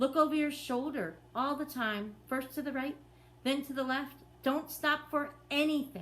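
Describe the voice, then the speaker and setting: In a put-on character voice, a woman speaks at a high pitch and a moderate pace, with clear background noise. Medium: read story. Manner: brisk, impatient.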